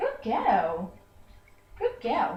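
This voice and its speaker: Pitched extremely high, the voice is a put-on character voice. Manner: sweet, praising.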